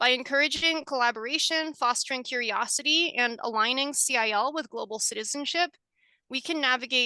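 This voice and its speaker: Projecting her raised voice at a fairly quick pace, a woman speaks with a high pitch, a bright, sharp tone and ordinary pitch variation in a dry, close sound with no echo. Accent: American. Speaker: school librarian and researcher. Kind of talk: webinar presentation; Q&A answer. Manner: fast.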